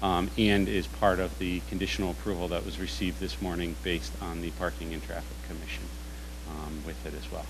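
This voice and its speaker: Over noticeable background noise, a man speaks fairly quickly in a very deep, low pitch with vocal fry. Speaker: presenter. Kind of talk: formal presentation. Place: meeting room.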